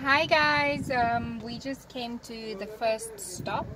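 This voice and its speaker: Over crowd noise in the background, a woman speaks at a very slow pace. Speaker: mother vlogger. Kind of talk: casual vlog chat. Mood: cheerful, hot. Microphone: phone near.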